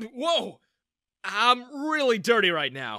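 The put-on character voice has a bright, sharp tone and big pitch swings at a slow pace. The recording is very clean, with a silent background.

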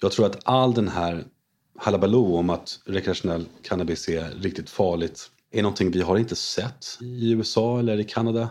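At a moderate pace, the speaker has an unremarkable speaking voice with ordinary pitch variation. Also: man, fairly low pitch for a man. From France. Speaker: investor, former short seller. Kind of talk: interview.

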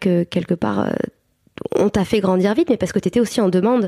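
At a fairly quick pace, a woman with a medium pitch and a dark, mellow tone talks with ordinary pitch variation in a dry, close sound with no echo. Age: 30s. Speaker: mother and birth-support practitioner. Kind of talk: interview testimony. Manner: halting, many fillers.

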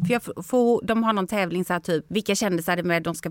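A woman with fairly low pitch, a very fast pace, an animated tone and ordinary pitch variation. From Sweden. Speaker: TV personality. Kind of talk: casual chat.

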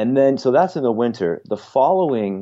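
This is a plain, everyday voice. Its pitch variation is ordinary. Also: man. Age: 40s. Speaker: yoga program founder. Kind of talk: casual interview.

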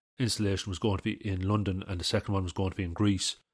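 A man's fairly low pitch in an Irish Midlands accent, monotone and flat, with a dry, close sound with no echo in a very clean recording with a silent background. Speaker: artist and podcast host. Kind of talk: casual solo talk. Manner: casual, with many fillers.

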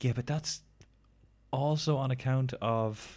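A man's medium-pitched voice with an Irish accent at a very slow pace, on a very clean recording with a silent background. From Ireland. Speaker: podcast co-host. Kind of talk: casual chat. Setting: recording while travelling in Thailand.

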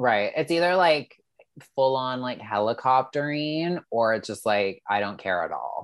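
A man's plain, everyday voice at medium pitch, fairly slow, with lively intonation. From Canada. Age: 30s. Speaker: Instagram reality TV commentator. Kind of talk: casual chat.

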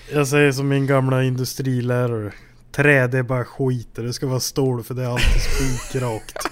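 Speaking at a moderate pace and medium pitch, a man has monotone, flat intonation over noticeable background noise. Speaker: podcast host. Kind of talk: casual chat. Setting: at home.

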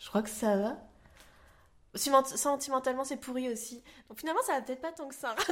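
A woman is speaking. Her pitch is high. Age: 30s. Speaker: podcast guest. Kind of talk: casual interview.

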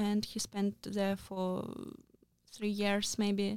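Speaking very slowly with a Russian accent, a woman uses a medium pitch and a dark, mellow tone on a very clean recording with a silent background. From Moscow region, Russia. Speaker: journalist. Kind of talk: interview. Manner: halting.

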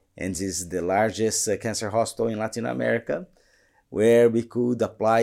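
A man with a Portuguese accent at a fairly low pitch and fairly quick pace, with ordinary pitch variation, in a very clean recording with a silent background. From Brazil, São Paulo. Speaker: colorectal surgeon. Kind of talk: interview. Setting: studio.

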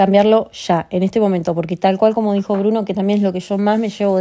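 This woman talks at a very fast pace in a dark, mellow tone. Her pitch is medium and her intonation fairly even. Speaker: podcast host. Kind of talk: casual chat.

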